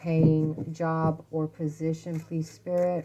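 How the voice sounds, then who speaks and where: A quiet woman at a very slow pace, fairly low in pitch, with monotone, flat intonation and noticeable background noise. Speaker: tarot reader. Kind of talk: tarot reading for viewers. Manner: quiet, talking low.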